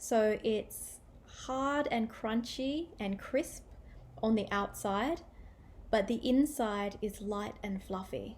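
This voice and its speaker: A woman speaks somewhat breathily at a very slow pace, her pitch fairly high. Her pitch varies in an ordinary way. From Australia. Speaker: English teacher. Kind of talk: language-learning listening practice talk. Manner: clear, measured. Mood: friendly, cheerful. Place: home room. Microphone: webcam.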